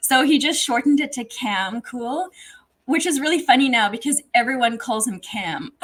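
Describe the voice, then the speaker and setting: The woman's voice sits high in pitch, with ordinary pitch variation. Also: moderate pace. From South Africa. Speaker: HVAC technician and social media influencer. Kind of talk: casual interview.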